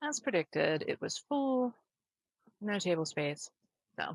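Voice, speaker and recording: A woman mumbling at a moderate pace. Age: 40s. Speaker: vlogger. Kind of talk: casual vlog narration.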